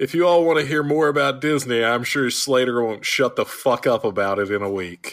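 A man speaks at a fairly quick pace with hardly any pauses and lively intonation. His voice is an unremarkable speaking voice at medium pitch. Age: 20s. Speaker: guest podcaster, co-host of another roller coaster show. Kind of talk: casual chat.

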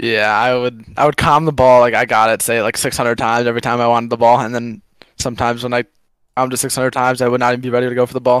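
A man talks at a very fast pace in a Chicago accent. His pitch is medium, and his intonation is monotone and flat. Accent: Chicago American. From US Midwest, Chicago. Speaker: esports player. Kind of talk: casual chat.

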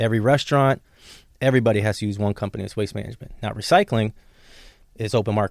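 A man with an American accent talks very fast at a fairly low pitch, with fairly even intonation and long, frequent pauses. The recording is very clean and silent in the background, with a dry, close sound and no echo. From Chicago area, Illinois. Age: 30s. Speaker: entrepreneur. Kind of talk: casual chat.

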